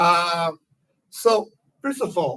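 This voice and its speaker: A man with a Spanish accent speaks at a high pitch. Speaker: political cartoonist, exile. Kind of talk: public lecture. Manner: careful, somewhat halting non-native English.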